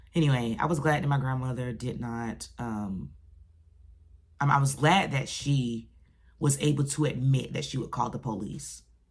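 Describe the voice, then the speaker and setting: A woman's very deep, low voice with ordinary pitch variation and audible room echo. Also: moderate pace. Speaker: ex-Jehovah's Witness vlogger. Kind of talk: personal vlog monologue. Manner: gets loud when passionate; halting, repeats words.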